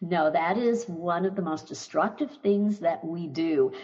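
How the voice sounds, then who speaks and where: A woman's fairly low pitch at a moderate pace, with ordinary pitch variation and noticeable background noise. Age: 70s. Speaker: anxiety doctor, former teacher. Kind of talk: interview.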